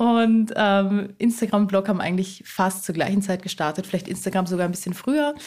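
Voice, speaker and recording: A somewhat breathy voice moves at a fairly quick pace on a very clean recording with a silent background. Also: woman, medium pitch for a woman, ordinary pitch variation, hardly any pauses. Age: 20s. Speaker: eco blogger and cookbook author. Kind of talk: casual interview chat.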